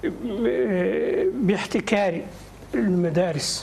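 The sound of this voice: Faint background noise sits behind a man with a high voice and vocal fry. His tone is slightly mellow, with ordinary pitch variation.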